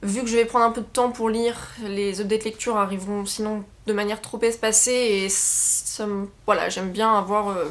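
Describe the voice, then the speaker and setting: A woman's fairly high voice at a moderate pace, monotone and flat in intonation. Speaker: book YouTuber. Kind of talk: casual chat. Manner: hesitant, many fillers.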